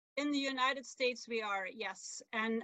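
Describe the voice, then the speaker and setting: Moderate speed with intonation that stays fairly even. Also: woman. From Belgium. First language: Dutch. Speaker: author and sailor. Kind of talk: casual interview. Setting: video call from camper van.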